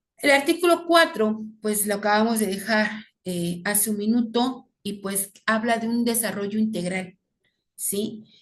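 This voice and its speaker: A woman speaks at a fairly slow pace and fairly high pitch. Her voice is somewhat breathy, with ordinary pitch variation. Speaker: teacher. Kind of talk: lecture.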